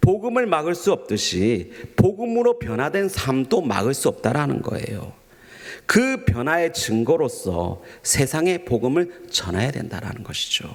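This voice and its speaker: Amid noticeable background noise, a man with a gentle tone and fairly high pitch speaks slowly, his pitch swinging very widely. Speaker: pastor. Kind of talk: sermon. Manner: formal, gentle preaching tone.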